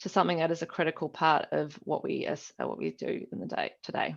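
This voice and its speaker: Speaking at a fairly quick pace, a woman with a New Zealand accent uses a fairly low pitch and vocal fry. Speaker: business analyst. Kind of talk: conference talk. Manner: hesitant, many fillers.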